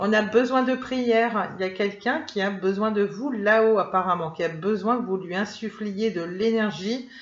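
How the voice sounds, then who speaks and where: Hardly pausing at all, a woman speaks in a medium pitch with ordinary pitch variation against noticeable background noise. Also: moderate pace. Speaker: tarot and oracle card reader. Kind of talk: oracle card reading for viewers. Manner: hesitant, many fillers.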